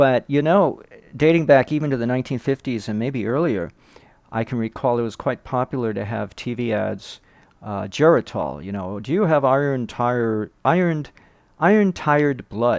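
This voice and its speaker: On a very clean recording with a silent background, a man speaks at a moderate pace with lively intonation. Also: medium pitch for a man. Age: 60s. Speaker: health vlogger. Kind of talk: casual monologue. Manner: halting.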